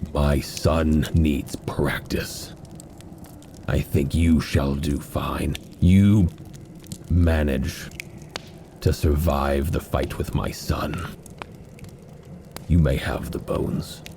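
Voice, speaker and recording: In a booming, gravelly put-on character voice with a very deep, low pitch, a man speaks at a very slow pace with long, frequent pauses over clear background noise. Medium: actual play. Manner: slow, blunt, menacing.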